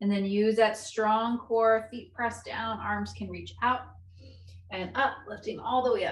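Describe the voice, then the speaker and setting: A woman speaks at a moderate pace in a calm tone. Audible room echo surrounds her voice. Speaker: yoga instructor. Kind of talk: live guided chair-yoga class, cueing breath and movement step by step. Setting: video call. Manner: calm, encouraging instructor voice with rhythmic inhale/exhale cues; gentle and reassuring, repeatedly offering options and saying good. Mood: calm, encouraging. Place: home room. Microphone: video call.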